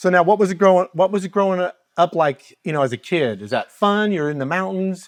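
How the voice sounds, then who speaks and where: With an American accent, a man speaks fairly quickly at a high pitch with ordinary pitch variation, recorded dry and close with no echo. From US Midwest (Kansas). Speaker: talk show host. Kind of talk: casual interview.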